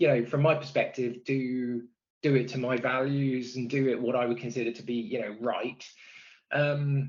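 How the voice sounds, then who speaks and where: Speaking with a West Country accent, a man keeps a moderate pace and a monotone, flat intonation. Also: medium pitch for a man. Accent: West Country twang. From Bristol, West Country England. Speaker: product and technology executive. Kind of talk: podcast interview. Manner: hesitant, many fillers and repeats.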